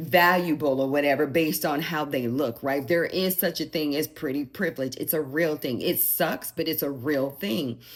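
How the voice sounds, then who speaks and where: This woman's voice has a very deep, low pitch. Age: 60s. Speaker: lifestyle vlogger and mother. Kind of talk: personal advice monologue. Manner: conversational with filler words.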